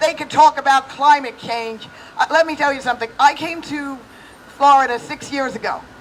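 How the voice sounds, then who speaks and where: Noticeable background noise accompanies a moderate-paced voice with an American accent and an animated tone. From New York, Brooklyn. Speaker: political activist. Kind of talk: rally speech. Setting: outdoors.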